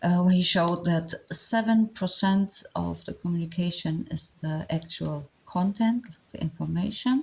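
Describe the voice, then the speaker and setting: A woman with a non-native accent speaks at a fairly low pitch with ordinary pitch variation. Her pace is fairly slow, with hardly any pauses. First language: not English. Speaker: commentator on body language. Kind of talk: commentary monologue. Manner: halting, many fillers; reading from notes.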